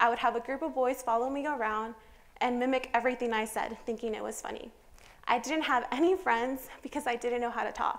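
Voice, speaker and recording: A woman speaks with a Spanish accent at a high pitch. Her pace is fairly quick. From California, US. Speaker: student speaker. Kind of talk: prepared public talk.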